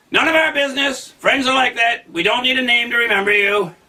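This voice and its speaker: A man's put-on character voice at an extremely high pitch and a fairly quick pace. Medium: read story.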